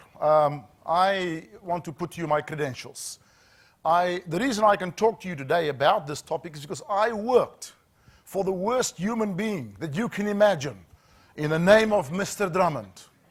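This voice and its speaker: Against a silent background on a very clean recording, a man with a South African accent speaks at a high pitch and a moderate pace, with ordinary pitch variation and big swings in loudness. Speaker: safety trainer, former HR manager. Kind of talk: corporate training talk.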